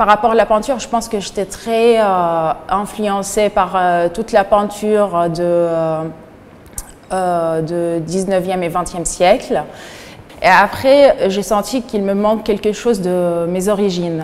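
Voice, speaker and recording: Over noticeable background noise, a woman with an Arabic accent speaks at a very slow pace, with medium pitch and ordinary pitch variation. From Syria. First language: Arabic (speaking French). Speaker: painter. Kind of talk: interview. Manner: halting, many hesitations.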